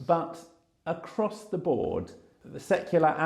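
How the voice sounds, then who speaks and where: A man with vocal fry, a dark, mellow tone and a fairly slow pace. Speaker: churchgoer, podcast guest. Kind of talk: interview conversation. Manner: halting, with many repetitions.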